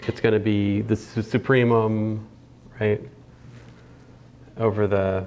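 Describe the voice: Slow and slightly mellow, a man talks at a fairly low pitch.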